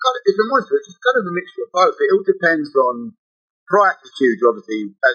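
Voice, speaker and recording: A man with an English accent speaks at a very fast pace. Music plays in the background. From London, England. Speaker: shirt seller, shop owner. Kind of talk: casual podcast chat.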